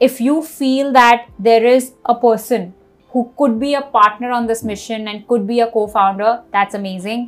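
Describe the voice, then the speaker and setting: In an Indian accent, a woman speaks with a fairly high pitch. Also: fairly even intonation, moderate pace. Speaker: startup founder. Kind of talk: casual interview conversation.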